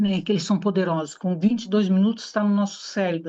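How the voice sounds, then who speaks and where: Here is a woman with a plain, everyday voice. Her pitch is medium and her intonation fairly even. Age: 60s. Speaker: aesthetician. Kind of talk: talk to an audience.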